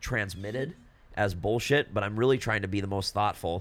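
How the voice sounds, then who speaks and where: Fairly low male speech, its pitch rising and falling in an ordinary way. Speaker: podcast co-host. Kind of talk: casual banter. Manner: animated, teasing.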